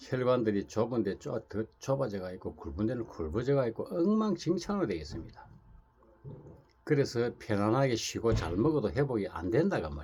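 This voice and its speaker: Somewhat breathy and dark, mellow in tone, a man at a medium pitch makes very wide pitch swings. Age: 60s. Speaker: Buddhist monk. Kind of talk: casual talk to camera. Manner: rambling with repetitions.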